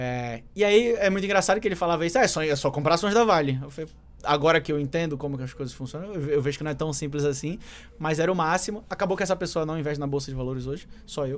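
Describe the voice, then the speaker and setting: A man with a fairly high voice talks very fast, with ordinary pitch variation. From Manaus, Brazil. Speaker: market analyst and trader; market analyst. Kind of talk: casual interview chat. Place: studio. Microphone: studio mic.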